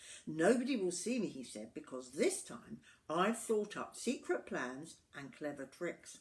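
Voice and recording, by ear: Someone reads aloud in a natural voice.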